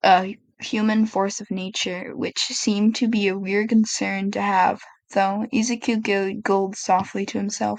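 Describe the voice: Plain reading aloud comes with fairly even intonation.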